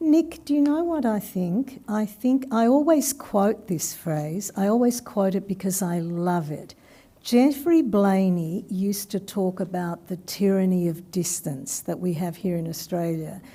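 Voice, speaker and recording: At a fairly slow pace with hardly any pauses, a woman speaks at a medium pitch in a somewhat breathy, dark, mellow tone with very wide pitch swings. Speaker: academic presenter. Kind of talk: q&a discussion after seminar.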